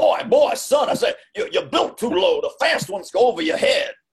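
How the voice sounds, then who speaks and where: In a cartoonish character voice, a man talks at an extremely high pitch and a moderate pace. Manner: blustering, scolding.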